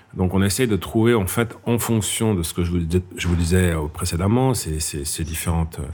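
Speaking at a fairly quick pace, a man with a very deep, low voice is heard over noticeable background noise. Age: 50s. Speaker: head of a national image promotion agency. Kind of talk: interview. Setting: café.

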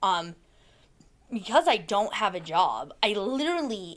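In a very clean recording with a silent background, a woman with a medium pitch speaks at a fairly slow pace with lively intonation. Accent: Alaskan. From Alaska, Soldotna. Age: 20s. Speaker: person in addiction recovery. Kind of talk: testimony. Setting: office.

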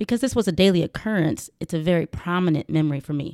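A woman talks very fast with a Georgia accent at a fairly low pitch. The sound is dry and close with no echo, on a very clean recording with a silent background. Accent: Southern US, Georgia. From US South, rural south Georgia. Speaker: podcast host and professional boxer. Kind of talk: personal monologue, casual.

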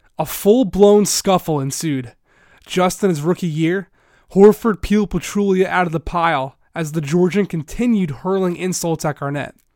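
This man speaks with a high pitch at a moderate pace. The recording is very clean with a silent background and a dry, close sound with no echo. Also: ordinary pitch variation. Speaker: sports journalist and podcast host. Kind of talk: scripted narration. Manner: formal.

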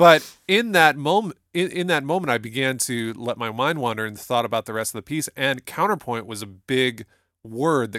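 With an American accent, a man speaks at medium pitch and a moderate pace, his tone bright and sharp and his intonation lively. The sound is dry and close with no echo, and the recording is very clean with a silent background. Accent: Toledo, Ohio accent, shows on some words. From Toledo, Ohio, US Midwest. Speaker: music professor and podcast host. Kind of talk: casual chat about music.

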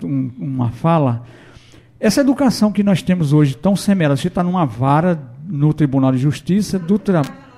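With a dark, mellow tone, the voice moves at a moderate pace and has lively intonation. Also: man, very even loudness. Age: 50s. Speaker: radio host. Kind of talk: radio interview.

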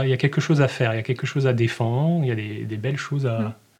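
This man's voice sits at a medium pitch and is somewhat breathy. His pitch varies in an ordinary way. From northern Morvan, Burgundy, France. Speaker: naturalist. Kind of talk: interview. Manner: halting.

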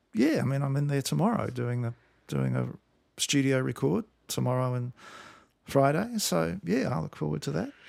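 A man speaks with a New Zealand accent at a moderate pace. He leaves long, frequent pauses. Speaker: musician. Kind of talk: interview.

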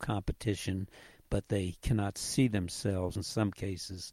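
Somewhat breathy and fairly low-pitched, a man talks in a dark, mellow tone with fairly even intonation. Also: dry, close sound with no echo. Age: 80s. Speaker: league CEO and co-founder. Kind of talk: interview answers.

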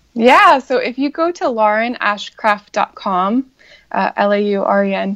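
A woman's fairly high-pitched, a normal speaking voice at a fairly slow pace, with a dry, close sound and no echo. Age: 30s. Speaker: congressional candidate and comedian. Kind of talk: interview.

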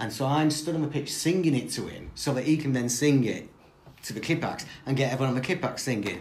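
A man talks at a very fast pace, his pitch fairly high with ordinary variation. Audible room echo and noticeable background noise fill the recording. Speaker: football historian. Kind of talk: interview.

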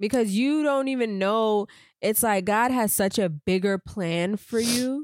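Her fairly high voice moves along at a fairly slow pace, animated in tone, with ordinary pitch variation and very even loudness. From Miami, Florida (Haitian family). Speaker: podcast co-host. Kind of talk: casual chat.

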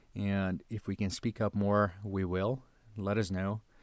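A man with a Portuguese accent and fairly low pitch, flat and monotone in intonation, on a very clean recording with a silent background. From Brazil. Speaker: podcast host. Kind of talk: personal statement on current events; casual interview chat.

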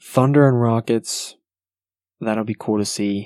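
A soft-spoken man at a moderate pace, with a dry, close sound with no echo and a quiet background. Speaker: sports podcast host. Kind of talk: solo sports talk podcast. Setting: at home at night. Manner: quiet, soft-spoken.

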